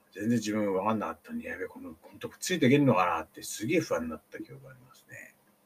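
The speaker goes at a very fast pace with hardly any pauses. The loudness swings widely. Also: man. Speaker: podcaster. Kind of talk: casual storytelling monologue. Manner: hesitant, many fillers.

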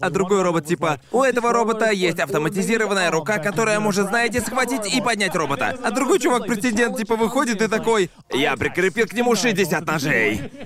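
A man talking at a fairly quick pace with hardly any pauses, over noticeable background noise. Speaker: podcast host. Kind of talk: casual banter podcast. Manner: casual, swearing.

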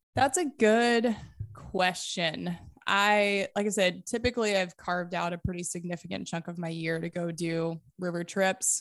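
A woman's unremarkable speaking voice at medium pitch and a moderate pace, with ordinary pitch variation, on a very clean recording with a silent background. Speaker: entrepreneur, founder of an outdoor food company. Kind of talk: casual interview conversation.

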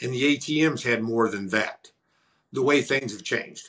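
A man with a Missouri accent speaks at medium pitch and a fairly slow pace. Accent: Midland American, Missouri. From US Midwest, rural southern Missouri. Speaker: entrepreneur and author. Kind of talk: interview.

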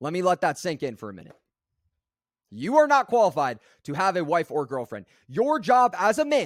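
With very wide pitch swings and an animated tone, the voice is recorded very cleanly against a silent background, with a dry, close sound and no echo. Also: man. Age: 20s. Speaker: podcast host and coach. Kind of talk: monologue.

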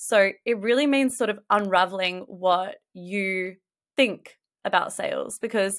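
A woman talks in an ordinary speaking voice at medium pitch with ordinary pitch variation. The recording is very clean, with a silent background. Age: 30s. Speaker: sales and marketing business coach. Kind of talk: podcast interview.

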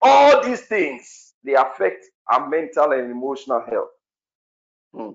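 A man talks at a fairly slow pace with long, frequent pauses. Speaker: prayer session leader. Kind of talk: fervent prayer. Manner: earnest, pleading, fervent.

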